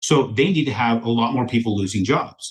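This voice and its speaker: With an American accent, a man speaks in a somewhat breathy voice. His intonation is lively. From rural US, cattle ranch. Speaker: mortgage lender for real estate investors. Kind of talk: podcast interview. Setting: podcast recording. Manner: fast; animated.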